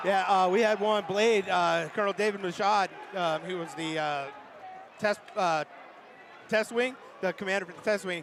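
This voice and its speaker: In an animated tone, a man speaks at a moderate pace and high pitch with big swings in loudness and long, frequent pauses, over noticeable background noise. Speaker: hockey play-by-play commentator. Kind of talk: live commentary; casual chat. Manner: animated, halting with many fillers.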